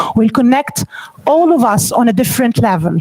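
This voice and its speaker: Her pitch high and her intonation lively, a woman is speaking. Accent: Egyptian. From Egypt. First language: Arabic. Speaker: NLP trainer and coach. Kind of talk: training presentation.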